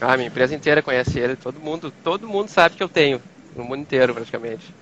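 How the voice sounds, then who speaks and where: A man with a fairly high pitch races along at a very fast pace, his intonation lively. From southern Brazil (Rio Grande do Sul). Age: 30s. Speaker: project manager sharing anxiety experience. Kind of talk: testimony in live interview. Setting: live video call.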